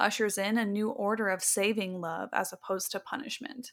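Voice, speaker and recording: A woman with an ordinary speaking voice talks at a fairly quick pace, her fairly high pitch held in fairly even intonation. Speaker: podcast host. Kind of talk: casual chat.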